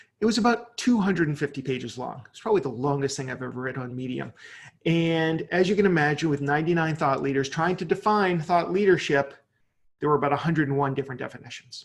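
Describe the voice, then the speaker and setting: A man with a fairly high pitch talks very fast in a somewhat breathy voice. His intonation is lively and his loudness swings widely. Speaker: digital marketing speaker. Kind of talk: webinar presentation.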